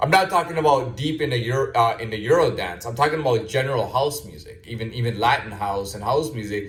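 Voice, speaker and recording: At a very fast pace, a man with a somewhat breathy, medium-pitched voice speaks with lively intonation and big swings in loudness. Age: 30s. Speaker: video blogger. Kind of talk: casual monologue. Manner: halting, many repetitions and fillers.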